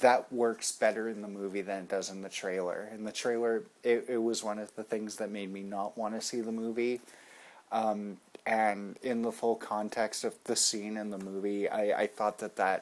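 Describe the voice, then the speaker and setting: At a moderate pace, a man with a fairly low pitch speaks in a monotone, flat intonation. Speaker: amateur film reviewer. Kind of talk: casual vlog review. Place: home room. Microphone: webcam.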